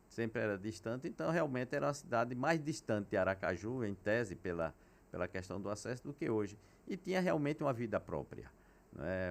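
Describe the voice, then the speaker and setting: Very wide pitch swings from a man at a moderate pace, on a very clean recording with a silent background. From Sergipe, Brazil (Propriá). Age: 70s. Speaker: physician and hospital founder. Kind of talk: interview.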